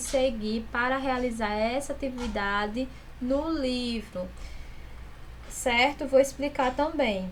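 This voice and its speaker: A woman speaks at a very slow pace in a high pitch, with audible room echo. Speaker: school teacher. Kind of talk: recorded online class instructions.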